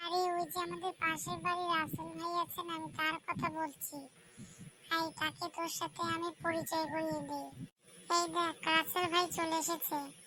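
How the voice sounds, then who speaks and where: This is a cartoonish character voice with extremely high pitch. It moves at a moderate pace. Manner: fast, informal banter.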